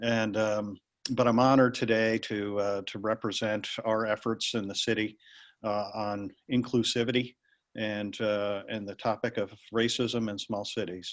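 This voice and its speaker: Against a quiet background, a man with an American accent talks at a fairly slow pace, fairly low in pitch and in a monotone, flat intonation. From Pennsylvania. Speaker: mayor. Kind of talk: panel discussion. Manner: halting.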